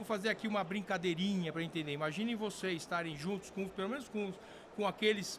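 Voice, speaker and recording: A man talks at a very fast pace in a high pitch. His intonation stays fairly even. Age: 60s. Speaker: sport shooting veteran and firearms company figure. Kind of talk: podcast interview. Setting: convention event. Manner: halting, many fillers.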